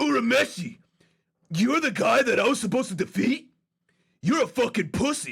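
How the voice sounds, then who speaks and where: In a put-on character voice, the speaker uses lively intonation and very even loudness at a moderate pace, with long, frequent pauses. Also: man, extremely high pitch for a man. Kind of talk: English dub. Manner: taunting, aggressive.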